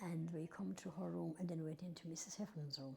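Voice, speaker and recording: A woman's fairly low, somewhat breathy voice with a dark, mellow tone at a very fast pace. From Ireland, County Tipperary. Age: 80s+. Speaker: oral history interviewee. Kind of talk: oral history interview, reminiscing. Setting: old schoolhouse. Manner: conversational, with hesitations and self-corrections.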